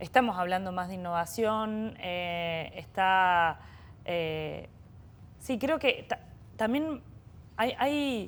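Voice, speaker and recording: In a Córdoba accent, a woman speaks very slowly with lively intonation, medium pitch and long, frequent pauses, on a very clean recording with a silent background. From Argentina, Córdoba. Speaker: bioeconomy startup executive. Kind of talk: interview conversation. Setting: innovation center. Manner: hesitant, many repetitions.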